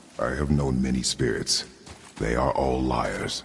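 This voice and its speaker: A man puts on a character voice that is very deep and low, with monotone, flat intonation at a fairly slow pace and clear background noise. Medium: video game. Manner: terse, gruff, clipped.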